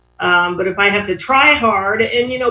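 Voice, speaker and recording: In an American accent, a woman with a plain, everyday voice talks at a moderate pace and a medium pitch. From Ohio, US Midwest. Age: 60s. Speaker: AA speaker. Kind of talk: recovery testimony. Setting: online meeting. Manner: casual, with many fillers.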